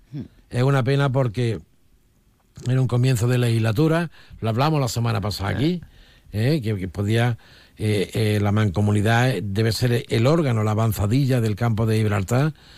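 On a very clean recording with a silent background, an ordinary speaking voice shows ordinary pitch variation and keeps a moderate pace. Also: man, medium pitch for a man. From Olivenza, Extremadura, Spain. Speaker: political commentator, former regional politician. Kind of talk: radio panel discussion.

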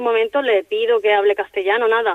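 At a fairly quick pace, a woman talks in a fairly high pitch with monotone, flat intonation. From Seville, Spain. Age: 20s. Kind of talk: interview. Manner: halting.

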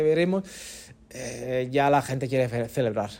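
With an Italian accent, a man talks at a fairly quick pace with ordinary pitch variation. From Naples, Italy. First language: Italian (speaking Spanish). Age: 30s. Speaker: football journalist. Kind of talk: casual chat.

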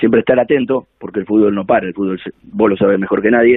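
In a normal speaking voice, a man talks at a fairly quick pace with fairly low pitch and fairly even intonation. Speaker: football coach. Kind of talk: interview.

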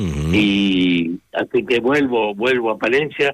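The recording is dry and close with no echo, and a man's voice rises and falls with lively intonation. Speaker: novelist. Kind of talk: radio interview.

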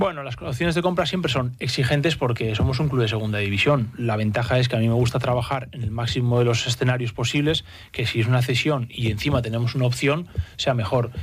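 A man's very rapid, somewhat breathy delivery. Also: medium pitch for a man, ordinary pitch variation. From Spain, Basque Country (San Sebastián). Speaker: football sporting director. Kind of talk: radio interview. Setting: studio.

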